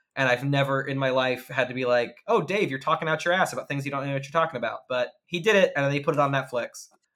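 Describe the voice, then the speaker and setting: A man talks very fast with hardly any pauses, his fairly high voice carrying a bright, sharp tone. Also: ordinary pitch variation. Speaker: actor and podcast host. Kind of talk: casual chat. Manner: fast talker.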